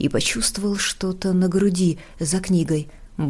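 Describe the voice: What you hear is plain reading aloud.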